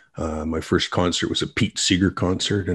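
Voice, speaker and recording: A man's very deep, low voice with a Canadian accent, somewhat breathy, in a monotone, flat delivery at a moderate pace, on a very clean recording with a silent background. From western Canada. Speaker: business owner, author and musician. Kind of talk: casual interview.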